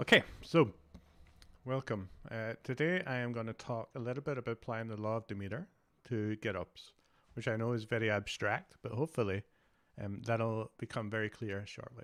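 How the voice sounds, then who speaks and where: Speaking in a Glasgow accent, a man uses a medium pitch with ordinary pitch variation. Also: moderate pace. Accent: Scottish (Glasgow). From Scotland, Glasgow. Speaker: developer advocate. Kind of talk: conference talk.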